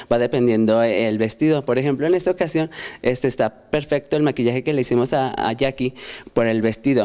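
A man speaks at a fairly quick pace in a medium pitch. His loudness stays very even, with ordinary pitch variation. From Fresnillo, Mexico. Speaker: hair stylist. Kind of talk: studio TV chat.

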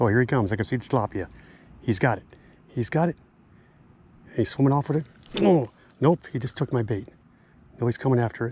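At a fairly quick pace broken by long, frequent pauses, a man speaks at medium pitch with a slightly mellow tone, a slightly husky edge and ordinary pitch variation.

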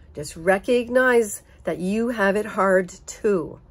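With an American accent, a woman speaks using ordinary pitch variation. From United States. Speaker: vlogger. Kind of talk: personal monologue. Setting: home. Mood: earnest, emotional. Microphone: phone near.

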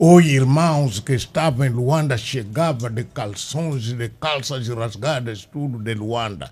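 A man is speaking. His voice is somewhat breathy. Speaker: former liberation movement politician. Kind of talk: panel interview. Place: studio. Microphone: studio mic.

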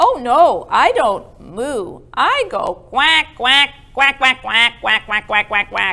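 A woman's cartoonish character voice, high in pitch, very slow, with hardly any pauses. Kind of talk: children's puppet show, comic. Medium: puppet show. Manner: eager, chattering.

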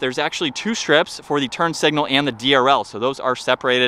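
A man with a bright, sharp tone at a fairly quick pace in a dry recording without echo. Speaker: car reviewer. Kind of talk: commentary. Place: street. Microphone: phone near.

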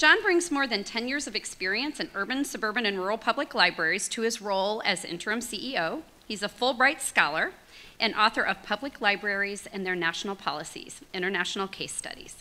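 A woman's bright, sharp voice at a fairly quick pace. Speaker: nonprofit executive and event co-host. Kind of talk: event hosting. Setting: stage with audience. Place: hall. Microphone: podium.

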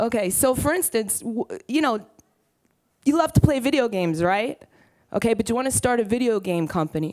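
With a Brooklyn accent, a woman speaks at a fairly high pitch and a fairly quick pace, her voice making very wide pitch swings and taking long, frequent pauses against a quiet background. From Brooklyn, New York. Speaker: entrepreneur. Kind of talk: conference talk. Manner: blunt, casual, profane. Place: stage. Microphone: headset.

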